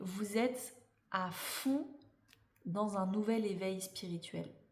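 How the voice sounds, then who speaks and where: Speaking at a very slow pace, a woman uses a medium pitch with ordinary variation. Room echo is audible. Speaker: tarot reader and life coach. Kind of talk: astrology tarot reading.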